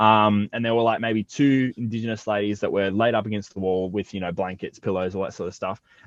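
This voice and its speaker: A man's fairly low-pitched voice at a fairly quick pace, with fairly even intonation. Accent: Australian. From Australia. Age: 20s. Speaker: rapper. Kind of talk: casual interview chat.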